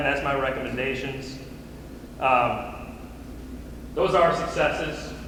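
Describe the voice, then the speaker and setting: The man speaks at a fairly slow pace, with long, frequent pauses. Noticeable background noise runs behind him. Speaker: archery coach giving conference talk. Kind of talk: presentation to coaches. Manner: animated.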